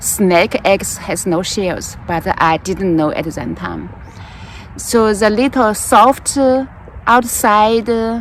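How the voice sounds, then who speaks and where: Against noticeable background noise, a woman with a Chinese accent speaks at medium pitch and a very slow pace with ordinary pitch variation. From China, rural Jiangsu village. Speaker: gardening vlogger. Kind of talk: casual storytelling while gardening. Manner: halting, with fillers.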